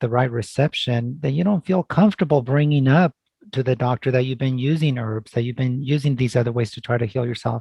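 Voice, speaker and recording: Barely pausing, a man with a somewhat breathy, medium-pitched voice talks at a very fast pace. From California Central Valley (moved from Mexico at 5-6). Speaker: family medicine doctor. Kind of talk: interview.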